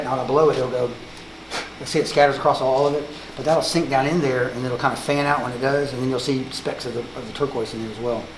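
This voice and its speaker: A man speaks at a very fast pace and a medium pitch with monotone, flat intonation. Audible room echo and noticeable background noise accompany him. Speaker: woodworking artist. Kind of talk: casual chat.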